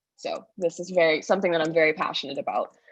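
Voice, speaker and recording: A woman speaks in a shaky voice at a fairly quick pace. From Bahamas. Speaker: convention delegate, history teacher. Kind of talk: public comment in church convention debate.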